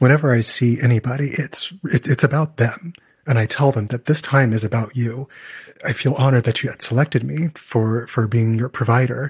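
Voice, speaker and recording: A somewhat breathy man speaks with fairly even intonation in a dry, close sound with no echo. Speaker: audiologist and podcast co-host. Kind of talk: casual chat.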